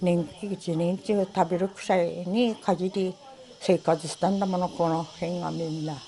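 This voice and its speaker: A woman's monotone, flat delivery in a Tohoku accent. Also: fairly low pitch for a woman, fairly slow pace. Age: 70s. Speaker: former general store manager. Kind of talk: interview answer.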